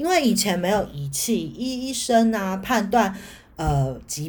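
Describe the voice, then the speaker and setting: A woman speaks at a very slow pace, her pitch swinging very widely. The voice is somewhat breathy, with audible echo in the room. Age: 40s. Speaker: podcast host, astrology. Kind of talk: solo educational talk. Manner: hesitant, many filler sounds.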